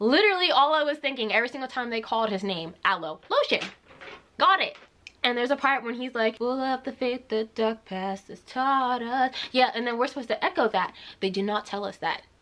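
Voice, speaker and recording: The speech moves at a fairly quick pace with lively intonation. Noticeable background noise runs behind it. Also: woman, high pitch for a woman. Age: 20s. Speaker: vlogger. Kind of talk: story time vlog. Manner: casual, animated.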